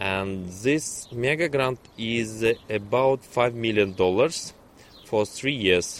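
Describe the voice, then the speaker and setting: A man with a Russian accent speaks at a very slow pace. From Russia, Kazan. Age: young. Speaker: neuroscientist. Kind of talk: interview. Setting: outdoors.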